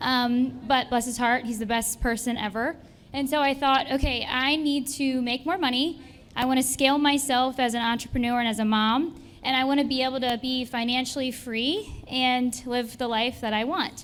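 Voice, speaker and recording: A woman speaks in a high voice with an American accent. Some room echo can be heard. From Maryland, US. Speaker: real estate agent and team leader. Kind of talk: conference talk. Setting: stage with audience. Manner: fast; animated.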